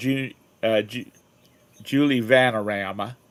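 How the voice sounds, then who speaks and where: Putting on a drawling character voice in a Southern accent, a man speaks at a fairly slow pace with medium pitch and fairly even intonation. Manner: drawled, extra syllables.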